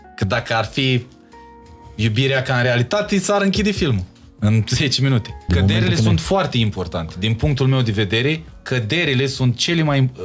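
A man at a moderate pace with very wide pitch swings, faint music in the background. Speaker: singer. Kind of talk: podcast interview answer. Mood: reflective, personal. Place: studio. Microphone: studio mic.

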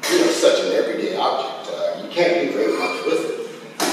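Strong room echo surrounds the voice of a man. Light background noise is present. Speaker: visual artist. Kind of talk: panel discussion. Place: hall. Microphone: camera far.

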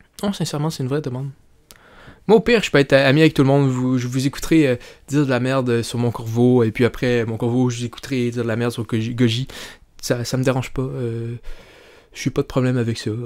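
A man talking at a very fast pace, with long, frequent pauses, against a quiet background. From Quebec. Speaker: YouTuber commentator. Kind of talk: casual vlog commentary. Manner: animated; halting, many fillers and repetitions. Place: home room. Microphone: studio mic.

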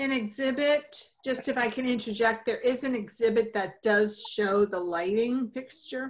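A woman's ordinary speaking voice, fairly high-pitched with ordinary pitch variation, at a fairly slow pace with hardly any pauses. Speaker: commission member. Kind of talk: public meeting. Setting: video call.

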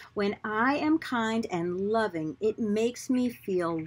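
A woman's fairly high, calm and soothing voice at a very slow pace, with lively intonation. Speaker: storybook reader. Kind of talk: children's storybook reading aloud. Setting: video recording for online viewers. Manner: slow, calm, soothing, gentle pacing; warm, friendly, addressing young viewers. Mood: warm, expressive, gentle. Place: garden. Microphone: phone near.

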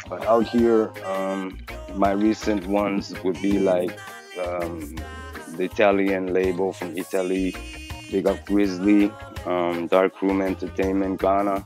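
Clear music plays in the background while the voice moves at a fairly slow pace with fairly even intonation in a dry sound with no echo. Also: man, very deep, low pitch for a man. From Japan. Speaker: reggae artist. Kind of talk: interview answer. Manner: casual, hesitant. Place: street.

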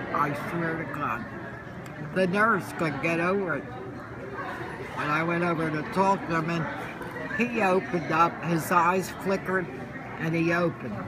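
A woman speaks at a moderate pace with long, frequent pauses. Noticeable background noise runs underneath. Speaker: grandmother. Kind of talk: casual family conversation. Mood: warm, emphatic, hopeful. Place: cafe. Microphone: phone near.

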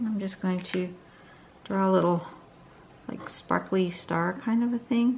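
This woman speaks with a fairly low pitch. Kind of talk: tutorial.

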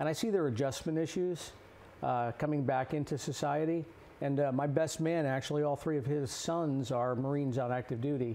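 The speech moves at a fairly quick pace in an American accent, with a dark, mellow tone and fairly even intonation. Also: man. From New Jersey. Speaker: blacksmith, pastor and Navy veteran. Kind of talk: interview. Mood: earnest, passionate. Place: studio. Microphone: lapel.

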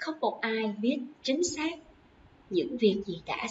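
A woman talks at a fairly slow pace, her pitch swinging very widely. Light background noise sits behind her. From Vietnam. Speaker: English teacher. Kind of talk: lecture. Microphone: webcam.

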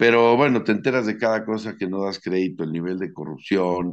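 A man speaks at a moderate pace with a Mexican accent. His pitch sits fairly low, and the background is quiet. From Mexico City. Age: 60s. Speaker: sports commentator. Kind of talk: casual interview. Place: home room.

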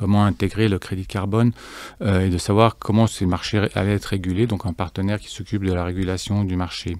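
Against a quiet background, a man with a fairly low pitch talks at a fairly quick pace with fairly even intonation in a dry sound with no echo. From Geneva, Switzerland. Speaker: fintech cofounder; guest. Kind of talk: interview. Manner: halting, many fillers and repetitions. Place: studio. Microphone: studio mic.

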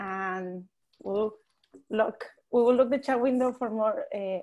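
Quiet background behind a dark, mellow tone. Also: woman. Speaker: webinar tech support and co-host. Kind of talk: webinar housekeeping announcements. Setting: video call. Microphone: video call.

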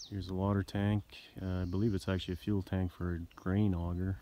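Noticeable background noise surrounds a man whose very deep, low voice keeps a fairly even intonation in a dry sound with no echo. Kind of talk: casual show-and-tell narration. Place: garden. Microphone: phone near.

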